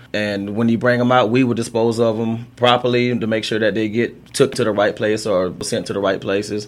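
A medium-pitched man with an American accent speaks in a flat monotone with hardly any pauses. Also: fairly quick pace. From US South, Thomasville, Georgia. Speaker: city sanitation manager. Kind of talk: radio interview.

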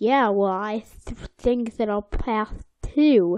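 A woman uses a put-on character voice and speaks at a very slow pace. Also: fairly high pitch for a woman. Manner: bad impression, cheerful cartoon voice.

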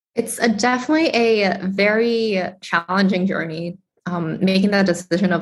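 A somewhat breathy voice speaks at a moderate pace with ordinary pitch variation. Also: woman, very even loudness. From Boston, Massachusetts. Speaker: tech startup co-founder and CTO. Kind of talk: interview.

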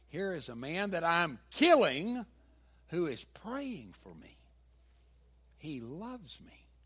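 In a very clean recording with a silent background, a man with a Southern US accent talks very slowly, using a high pitch, very wide pitch swings, big swings in loudness, and long, frequent pauses. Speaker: pastor. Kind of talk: sermon. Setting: church.

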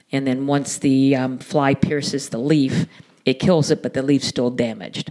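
With an American accent, a woman speaks at a moderate pace in a very deep, low voice with fairly even intonation. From Southwest Florida. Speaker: landscaping company president. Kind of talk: interview.

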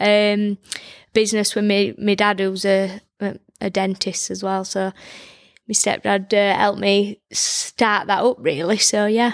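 With a Yorkshire accent, a woman speaks in a monotone, flat delivery over a dry, close sound with no echo. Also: medium pitch for a woman, fairly slow pace. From Barnsley, South Yorkshire, England. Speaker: boxing coach and orthodontic therapist. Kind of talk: casual interview. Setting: studio. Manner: well-spoken.

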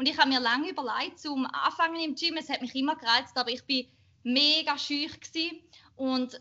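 High female voice at a fairly fast clip. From Switzerland, Schaffhausen. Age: 20s. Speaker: bikini fitness athlete and marketing manager. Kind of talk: casual chat.

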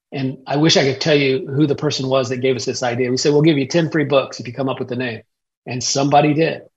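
A man's somewhat breathy, medium-pitched voice at a very fast pace, with fairly even intonation. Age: 50s. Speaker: pastor and author. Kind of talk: interview.

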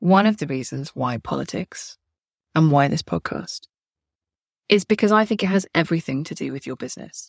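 A woman with a British accent at fairly low pitch, vocal fry, a fairly quick pace broken by long, frequent pauses, and dry, close sound with no echo in a very clean recording over a silent background. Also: lively intonation, big swings in loudness. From England. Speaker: podcast host, copywriter. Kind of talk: solo podcast monologue.

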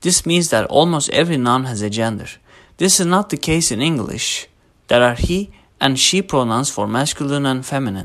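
A man with a Turkish accent speaks at a fairly high pitch and moderate pace, with lively intonation. The recording is very clean, with a silent background. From Turkey. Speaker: linguistics student. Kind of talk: scripted narration.

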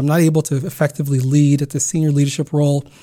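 Here a man speaks with an American accent and a fairly high pitch. His tone is dark and mellow, and somewhat breathy. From California, US. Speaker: podcast host. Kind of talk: solo personal storytelling. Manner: halting.

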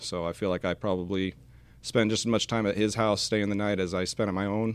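Very fast, monotone, flat delivery in a General American accent. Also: man. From Washington State, US Pacific Northwest. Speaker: air force aircraft maintenance sergeant. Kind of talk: podcast interview. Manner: hesitant, many fillers.

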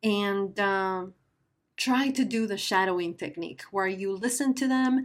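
A woman with a Spanish accent at a medium pitch and a fairly slow pace, on a very clean recording with a silent background. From Guatemala. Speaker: podcast host. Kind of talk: casual monologue. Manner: hesitant.

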